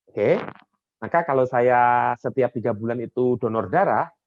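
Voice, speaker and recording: Speaking with a Javanese accent, a man uses a medium pitch at a moderate pace. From Java, Indonesia. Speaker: soft skills coach. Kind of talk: online training talk. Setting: video call. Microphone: echo when others unmute.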